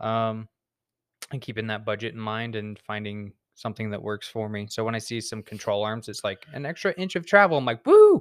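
An unremarkable speaking voice comes from a man at medium pitch, moving at a fairly quick pace with ordinary pitch variation. The recording is very clean, with a silent background. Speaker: truck tuner guest. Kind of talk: casual chat.

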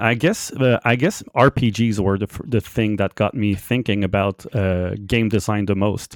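A man with a French Canadian accent speaks with a fairly low pitch, ordinary pitch variation and hardly any pauses. The sound is dry and close with no echo, on a very clean recording with a silent background. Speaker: game tools developer. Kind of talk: casual interview chat. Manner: informal, hesitant with filler words.

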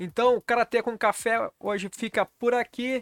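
A man speaks at a fairly slow pace. Music plays in the background, and the sound is dry and close with no echo. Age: 40s. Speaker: karate channel host. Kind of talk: casual vlog monologue.

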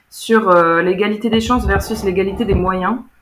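An unremarkable speaking voice from a woman of medium pitch with ordinary pitch variation. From France, German-French bilingual family. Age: 20s. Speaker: former student of a bilingual school. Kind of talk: casual interview.

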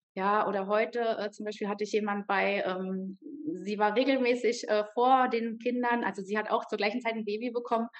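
A woman with a normal speaking voice and fairly high pitch talks at a moderate pace with fairly even intonation. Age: 30s. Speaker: yoga teacher. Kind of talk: interview.

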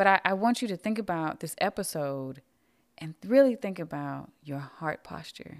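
A woman uses an ordinary speaking voice, fairly low in pitch, at a moderate pace with lively intonation. Her loudness swings widely on a very clean recording with a silent background. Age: 30s. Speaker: podcast host. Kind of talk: reflective monologue.

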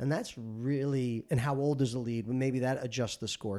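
The recording is very clean with a silent background, featuring a man at a medium pitch. He keeps a moderate pace and ordinary pitch variation. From New Jersey (Paterson). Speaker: sales technology executive. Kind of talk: interview.

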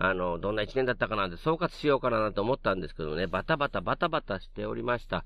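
Against a quiet background, a man with a fairly low pitch uses lively intonation in a plain, everyday voice. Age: 50s. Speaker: podcast corner host, father. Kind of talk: casual monologue. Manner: chatty, lots of filler.

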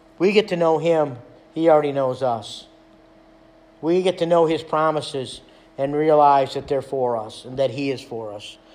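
Speaking at a moderate pace, a man has a fairly high pitch with ordinary pitch variation. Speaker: pastor. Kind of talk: sermon. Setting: church.

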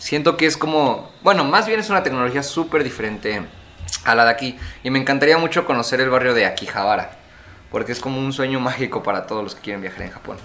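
A man at a medium pitch talks at a very fast pace with lively intonation. His loudness swings widely, and there is noticeable background noise. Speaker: podcast co-host. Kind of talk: casual chat.

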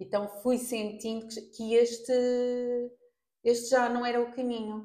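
The voice has a dark, mellow tone and a European Portuguese accent. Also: woman. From Portugal. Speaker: makeup artist. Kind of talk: casual interview. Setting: in person, face to face.

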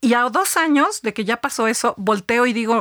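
A woman's bright, sharp tone and lively intonation come through in a dry, close sound with no echo. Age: 50s. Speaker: business executive and author. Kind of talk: interview.

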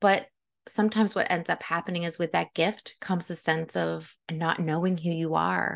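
A woman's voice at an average speed, little sound behind it. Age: 40s. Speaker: podcast host and mom coach. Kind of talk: motivational solo podcast talk. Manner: animated.

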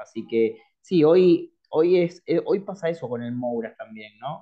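Very slowly, a man speaks with lively intonation. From Córdoba, Argentina. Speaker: streaming company representative. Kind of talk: interview.

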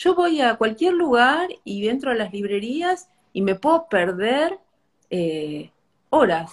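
A woman talks at a fairly slow pace with a fairly high pitch. Her pitch swings very widely. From Argentina, small inland town. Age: 50s. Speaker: bookshop owner. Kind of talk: casual chat. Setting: Instagram live.

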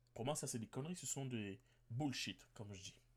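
With lively intonation, a man speaks at a moderate pace in a somewhat breathy voice of medium pitch. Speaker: podcast host. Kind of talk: solo podcast monologue.

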